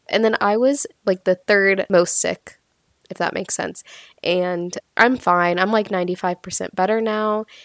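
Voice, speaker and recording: A woman's plain, everyday voice at medium pitch, with fairly even intonation and a moderate pace, in a dry, close sound with no echo. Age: 20s. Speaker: podcast host and epidemiologist. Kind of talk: solo educational podcast monologue. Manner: casual, chatty.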